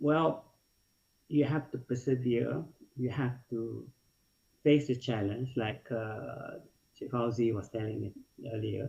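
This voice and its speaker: At a very slow pace with long, frequent pauses, the voice is dark, mellow and somewhat breathy, with ordinary pitch variation. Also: man, medium pitch for a man. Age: 60s. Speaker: food and beverage industry veteran. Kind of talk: webinar panel talk. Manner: halting.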